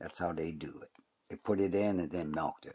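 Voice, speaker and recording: Vocal fry runs through this fairly slow speech in an American accent, with ordinary pitch variation. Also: man. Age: 60s. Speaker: hobby YouTuber. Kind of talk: casual tutorial. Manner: casual, rambling.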